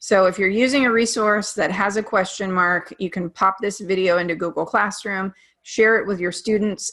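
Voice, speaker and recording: With a normal speaking voice and medium pitch, a woman talks at a moderate pace with hardly any pauses in a very clean recording with a silent background. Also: fairly even intonation. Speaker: teacher. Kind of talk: presentation.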